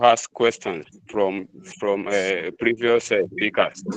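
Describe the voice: At a fairly slow pace, a man talks with a fairly bright tone.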